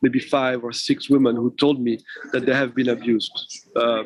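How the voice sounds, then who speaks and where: The sound is dry and close, with no echo. It carries a man's voice at a medium pitch. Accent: French. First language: French. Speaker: film director. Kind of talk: interview. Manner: halting.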